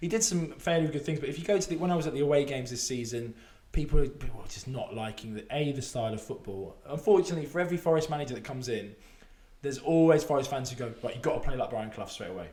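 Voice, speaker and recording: A somewhat breathy man with a fairly high pitch and a dark, mellow tone talks very fast with lively intonation, and the room echo is audible. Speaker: football betting podcast co-host. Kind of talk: casual chat.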